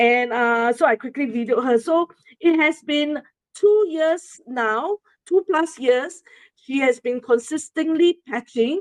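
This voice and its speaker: A woman speaks at a very slow pace in a Singaporean accent, her pitch high and her intonation lively, with a dry, close sound and no echo. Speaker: presenter sharing a testimonial. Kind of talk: presentation to an audience. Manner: halting, many fillers.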